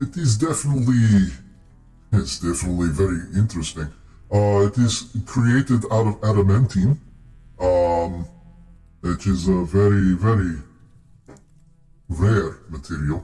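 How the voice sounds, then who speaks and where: A man puts on a character voice at a fairly low pitch, talking at a moderate pace with long, frequent pauses. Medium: actual play. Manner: explanatory, thoughtful.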